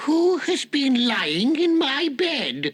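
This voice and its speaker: High pitch marks this voice. The speaker is putting on a character. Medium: audio drama.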